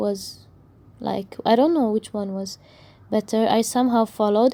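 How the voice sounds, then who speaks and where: The voice has a dark, mellow tone and an Arabic accent, moving at a fairly slow pace. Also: woman. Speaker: book YouTuber. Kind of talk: casual review rant.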